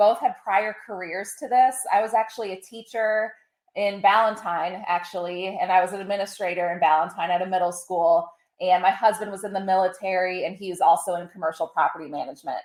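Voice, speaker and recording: With a slight Midwestern accent, a woman talks at a fairly quick pace and medium pitch, her intonation fairly even, with big swings in loudness. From Ohio. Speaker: pet care business owner. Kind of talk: interview.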